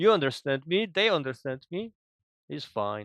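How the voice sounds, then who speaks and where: Speaking in a Polish accent at a moderate pace, a man uses a fairly high pitch with very wide swings. The sound is dry and close, without echo, and the background is quiet. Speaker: gamer. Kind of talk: casual chat.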